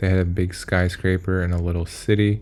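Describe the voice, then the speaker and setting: A man's very deep, low voice in a monotone, flat intonation, with music in the background. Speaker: art teacher. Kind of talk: drawing tutorial. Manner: casual, with fillers.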